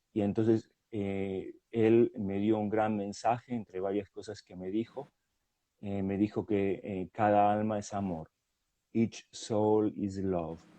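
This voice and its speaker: At a very slow pace, the speech runs monotone and flat, with big swings in loudness. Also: man, fairly low pitch for a man. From Argentina. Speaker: hypnotherapist. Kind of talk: interview testimony. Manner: hesitant, many fillers.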